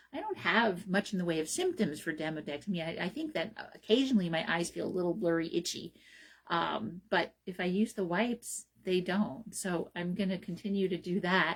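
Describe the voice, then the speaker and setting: Her voice somewhat breathy and medium in pitch, a woman speaks at a moderate pace with ordinary pitch variation. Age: 60s. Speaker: radio host and naturopathic physician. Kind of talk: solo radio talk show monologue. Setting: radio studio, also streamed on Facebook Live. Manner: hesitant, many fillers and restarts.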